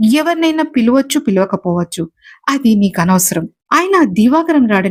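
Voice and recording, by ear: Natural-voiced reading aloud with a quiet background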